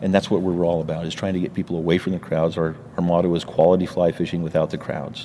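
Over noticeable background noise, a man with a very deep, low voice talks very fast with fairly even intonation. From New Mexico. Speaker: fishing guide. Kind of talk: interview.

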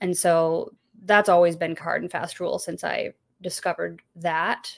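A woman's plain, everyday voice with an American accent, fairly low pitch, fairly even intonation and a moderate pace, on a very clean recording with a silent background. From Texas. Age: 30s. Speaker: YouTube content creator, stay-at-home mom. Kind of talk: interview conversation.

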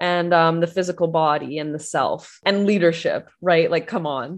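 Against a quiet background, a woman uses a normal speaking voice, fairly low in pitch with ordinary pitch variation, at a moderate pace. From Canada. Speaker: astrologer and spiritual business coach. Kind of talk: casual interview chat.

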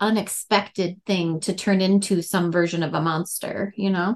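At a fairly slow pace, a woman speaks with an Upper Midwest accent. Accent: Upper Midwest, Fargo-style. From North Dakota. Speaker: horror author. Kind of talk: interview.

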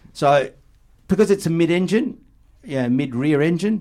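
A man speaks with an Australian accent. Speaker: podcaster and car enthusiast. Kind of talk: casual chat. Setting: studio.

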